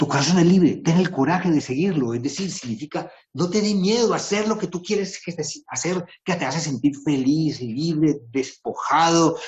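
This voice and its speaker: In a plain, everyday voice, a man talks at a moderate pace with fairly high pitch and lively intonation. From Colombia. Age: 60s. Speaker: writer and composer giving a talk.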